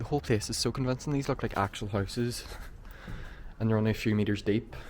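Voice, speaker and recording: A man with a Northern Irish accent at a very fast pace, medium in pitch, with ordinary pitch variation and very even loudness. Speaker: urban explorer vlogger. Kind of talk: walkthrough vlog narration. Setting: outdoors on abandoned film set.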